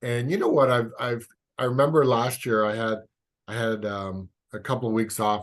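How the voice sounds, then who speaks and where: A man speaks at a moderate pace with a Canadian accent and fairly even intonation. The background is quiet. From Canada. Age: 60s. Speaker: physical therapist and osteopath. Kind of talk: podcast interview. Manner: halting.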